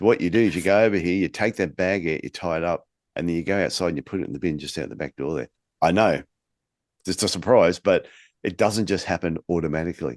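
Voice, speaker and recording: Very deep and low, a man's voice comes at a very fast pace with an Australian accent and ordinary pitch variation. The sound is dry and close with no echo, over a quiet background. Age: 50s. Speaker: podcast host, podiatry business coach. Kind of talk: casual chat.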